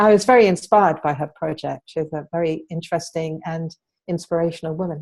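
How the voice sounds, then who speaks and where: In an English accent, a woman speaks at a fairly quick pace with a fairly low pitch and a dark, mellow tone against a quiet background. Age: 60s. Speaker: entrepreneur. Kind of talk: interview.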